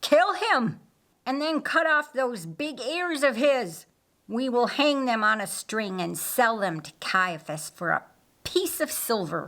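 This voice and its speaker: A woman puts on a character voice pitched high, with very wide pitch swings. She speaks at a fairly slow pace. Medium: read story. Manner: menacing.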